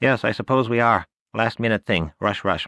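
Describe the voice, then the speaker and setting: A man uses a put-on character voice at a medium pitch and a moderate pace. The recording is very clean with a silent background. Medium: read story. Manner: quick, chattering, clipped.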